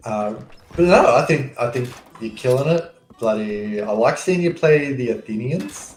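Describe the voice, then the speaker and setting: Lively intonation in an Australian accent at a moderate pace, with noticeable background noise. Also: man, medium pitch for a man. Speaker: gamer, fellow player. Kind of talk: casual chat.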